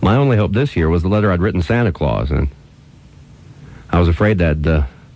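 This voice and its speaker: There is noticeable background noise as a man with an American accent and a very deep, low pitch speaks at a fairly quick pace with lively intonation. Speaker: radio host. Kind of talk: radio storytelling. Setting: radio broadcast recorded on cassette.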